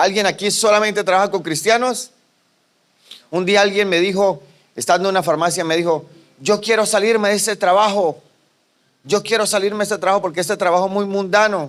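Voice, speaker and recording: Talking at a fairly quick pace in an animated tone, a man with a high pitch leaves long, frequent pauses. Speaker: pastor. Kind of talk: sermon.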